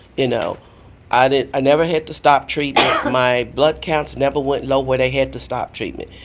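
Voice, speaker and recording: Noticeable background noise accompanies a man speaking in a fairly high pitch with fairly even intonation. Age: 70s. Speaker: breast cancer survivor and nonprofit founder. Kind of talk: interview.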